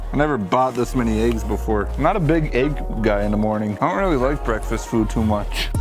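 Clear music sounds in the background. Over it, a man's speech moves at a moderate pace. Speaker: vlogger. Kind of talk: casual vlog chat. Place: garden.

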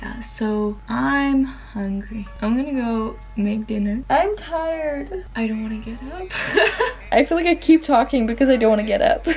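Faint music sits in the background as a woman talks at a moderate pace. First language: not English. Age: young. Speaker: vlogger. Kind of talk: casual vlog talk to camera. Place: home room. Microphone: phone near.

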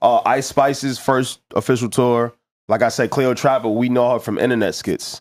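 Against a quiet background, a man's words come at a moderate pace. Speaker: podcast co-host. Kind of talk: casual chat. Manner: joking. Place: studio. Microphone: studio mic.

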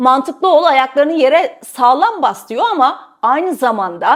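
A woman with a high voice talks at a moderate pace, her pitch swinging very widely. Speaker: journalist and video host. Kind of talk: scripted narration.

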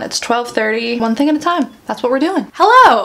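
A woman speaks at a moderate pace with a high pitch. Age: 20s. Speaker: YouTuber and author; YouTuber. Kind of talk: casual vlog chat. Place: home room. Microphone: phone near.

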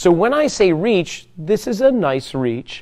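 Taking a fairly slow pace, a man speaks with very wide pitch swings. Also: quiet background. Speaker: fitness instructor. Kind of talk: exercise class instruction. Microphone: lapel.

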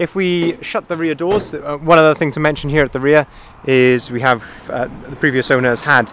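Over light background noise, a man talks at a moderate pace with ordinary pitch variation, the sound dry with no echo. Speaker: van sales manager. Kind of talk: walk-around product review. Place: street. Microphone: phone near.

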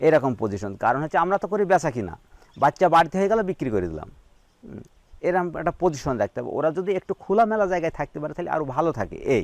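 Recorded with a dry, close sound and no echo, a man speaks with lively intonation, a fairly high pitch and vocal fry. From Bangladesh, Meherpur district. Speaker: sheep farmer. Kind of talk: interview. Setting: at his farm.

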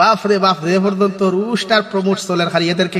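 A man with a Sylheti accent, high in pitch, against noticeable background noise. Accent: Sylheti Bengali. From Sylhet region, Bangladesh-India border. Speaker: Islamic preacher. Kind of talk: religious talk.

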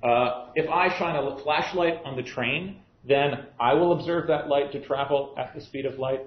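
Moderate pace with audible room echo. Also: man. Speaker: university physics lecturer. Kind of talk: lecture. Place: classroom.

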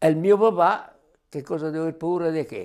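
A man's high-pitched, dark, mellow voice with ordinary pitch variation at a fairly quick pace over a quiet background. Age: 80s+. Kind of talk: testimony. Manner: conversational. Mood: warm, reflective. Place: home room. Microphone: lapel.

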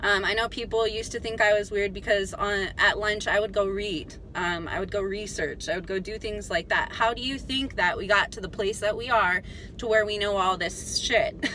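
Over light background noise, a woman talks at a moderate pace with ordinary pitch variation in a dry sound with no echo. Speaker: vlogger. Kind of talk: casual vlog chat. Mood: animated ranting, some laughs. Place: car.

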